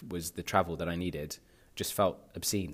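In a very clean recording with a silent background, a man speaks with a London accent. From North London, England (Pakistani family). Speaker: podcast host. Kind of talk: personal monologue. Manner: halting, many fillers.

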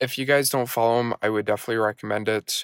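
A plain, everyday voice from a man at medium pitch, with fairly even intonation, dry, close sound with no echo, and a very clean recording with a silent background. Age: 20s. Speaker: podcast host and network marketer. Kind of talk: solo casual monologue. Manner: many fillers (uh, um, you know).

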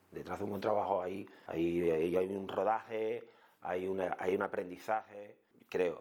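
A man talks at a fairly slow pace. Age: 50s. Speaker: food blogger and TV sound technician. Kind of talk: interview conversation. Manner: halting, with many repeated words.

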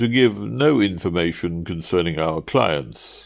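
A man puts on a character voice with low pitch and vocal fry. His intonation is lively. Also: fairly slow pace.

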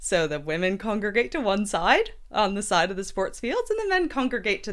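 Pitch swings very widely as a woman talks at a fairly quick pace. The recording is very clean, with a silent background. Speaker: podcast host. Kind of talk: casual chat. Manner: animated.

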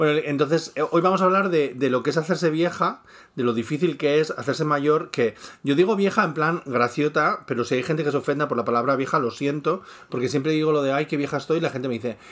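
In a very clean recording with a silent background, a man speaks at a very fast pace and fairly high pitch. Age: 40s. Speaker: podcast co-host, YouTuber. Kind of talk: casual chat.

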